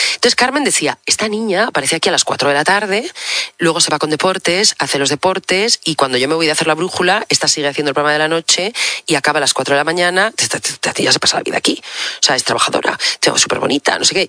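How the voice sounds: A woman with a low pitch, bright, sharp tone, lively intonation, fast pace and few pauses.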